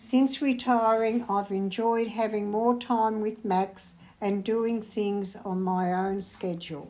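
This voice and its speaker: Very slow yet with hardly any pauses, a woman talks at a fairly high pitch with an Australian accent and a dark, mellow tone. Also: fairly even intonation. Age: 80s+. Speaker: retired bookkeeper. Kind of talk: interview.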